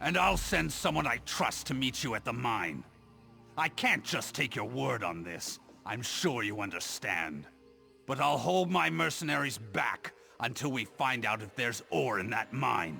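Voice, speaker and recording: A man uses a put-on character voice at medium pitch and a moderate pace. His pitch swings very widely, and music plays clearly in the background. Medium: video game. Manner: proud, brooding.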